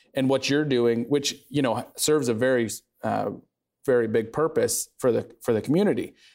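A man in an ordinary speaking voice talks at medium pitch and a moderate pace, with ordinary pitch variation and very even loudness, on a very clean recording with a silent background. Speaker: real estate podcast host. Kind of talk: casual interview chat.

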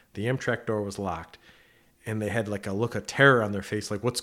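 Against a silent background in a very clean recording, a man talks at a very fast pace. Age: 40s. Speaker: financial advisor. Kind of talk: casual chat. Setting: studio.

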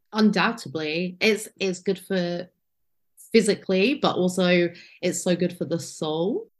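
A woman speaks at a medium pitch with an English accent. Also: ordinary pitch variation. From England. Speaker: first-time pilgrim sharing her story. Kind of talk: interview, personal testimony.

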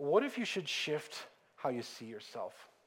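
Audible room echo carries a man's fairly high voice as his pitch swings very widely. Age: 40s. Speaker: pastor. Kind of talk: sermon. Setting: church.

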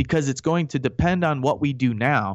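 Over a quiet background, a man talks at a moderate pace with lively intonation in a normal speaking voice. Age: 30s. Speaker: radio host and Iraq war veteran. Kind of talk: radio talk show monologue.

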